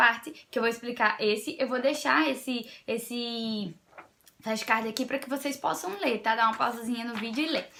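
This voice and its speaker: A bright, sharp tone carries this voice, its pitch varying in an ordinary way. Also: woman. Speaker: essay-writing tutor, educational youtuber. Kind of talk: tutorial. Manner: fast; animated.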